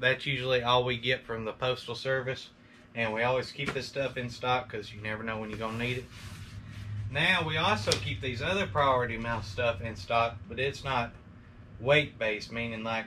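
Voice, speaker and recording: A man's medium-pitched voice with an Alabama accent and ordinary pitch variation, over noticeable background noise. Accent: Southern US (Alabama). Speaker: online reseller. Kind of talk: tutorial. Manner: fast; casual.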